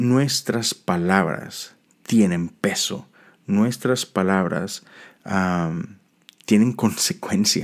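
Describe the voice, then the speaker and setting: In a very clean recording with a silent background, a man speaks at a very slow pace with lively intonation. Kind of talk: devotional talk. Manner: halting with frequent repetitions.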